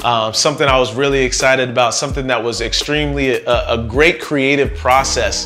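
Over faint background music, a man talks at a fairly quick pace. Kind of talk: casual vlog chat. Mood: warm, reflective. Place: home room. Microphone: lapel.

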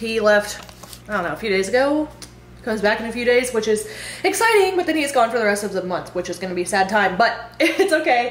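A woman's very fast speech, with audible room echo. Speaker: fitness coach vlogger. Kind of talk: casual vlog chat. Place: home room. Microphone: phone near.

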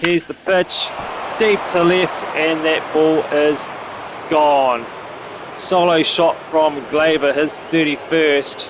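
Through noticeable background noise, a man speaks at a very slow pace, fairly high in pitch, with fairly even intonation. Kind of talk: play-by-play game commentary over video game highlights. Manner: matter-of-fact, steady announcer cadence.

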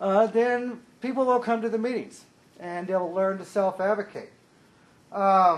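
Loud speech at a fairly slow pace with fairly even intonation. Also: man, high pitch for a man. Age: 40s. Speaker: consumer advisory committee liaison. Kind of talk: public meeting report.

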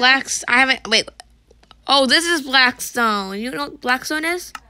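A woman with a high, bright, sharp voice projects it loudly at a fairly slow pace, her intonation lively and her loudness swinging widely. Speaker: gaming channel host. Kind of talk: casual gaming chat.

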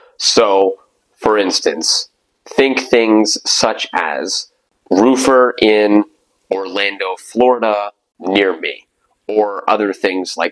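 A man speaks very slowly, and the background stays quiet. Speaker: digital marketing agency CEO. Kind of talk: tutorial talk to camera. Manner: casual, many filler words. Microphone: lapel.

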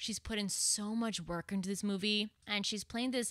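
Her tone is bright and sharp, and a woman talks at a moderate pace with fairly even intonation. The sound is dry with no echo, over a quiet background. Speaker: podcast host. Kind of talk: podcast intro monologue. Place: home room. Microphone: studio mic.

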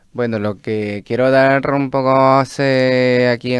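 A man with a plain, everyday voice speaks at medium pitch with fairly even intonation, in a dry sound with no echo over a quiet background. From Peru. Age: 30s. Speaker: chef and restaurant owner; interview guest. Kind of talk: radio interview. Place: studio. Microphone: studio mic.

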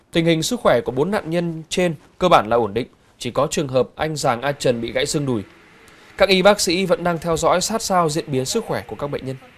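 With a normal speaking voice, a man talks at a fairly quick pace in a fairly high pitch with lively intonation. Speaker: news anchor. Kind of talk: news reading. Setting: studio. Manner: formal.

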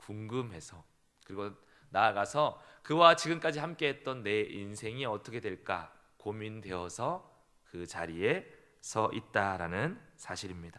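In a very clean recording with a silent background, a man with a slight southern Korean accent speaks at a very slow pace, his fairly low voice bright and sharp in tone, with lively intonation and long, frequent pauses. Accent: trace of southern regional Korean speech. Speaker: pastor. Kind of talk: sermon.

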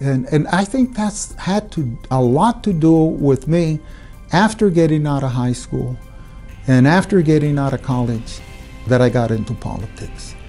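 Faint music plays in the background as a man with an American accent speaks at a fairly slow pace with lively intonation. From Hayden, Arizona, USA. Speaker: politician, county supervisor. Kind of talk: interview answer. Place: office.

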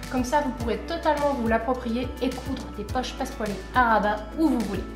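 A woman speaks with a high pitch. Clear music plays in the background. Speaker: sewing tutorial host. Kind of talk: tutorial. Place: home room.

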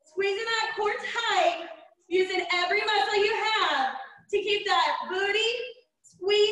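An American-accented woman with extremely high pitch speaks at a very slow pace, with audible room echo and a quiet background. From US South. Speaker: fitness instructor. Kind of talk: live online group fitness class, coaching with timed cues. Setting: video call, live streamed workout at home. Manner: warm, chatty, and laughs often. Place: home room. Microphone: camera far.

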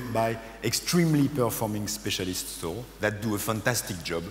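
A man at medium pitch and moderate pace, ordinary pitch variation, audible room echo and light background noise. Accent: French. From France. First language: French. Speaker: business consultant. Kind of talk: conference presentation. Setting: stage with audience. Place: stage. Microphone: headset.

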